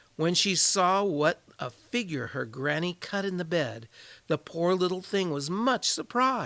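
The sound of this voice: Someone reads in an unforced reading voice.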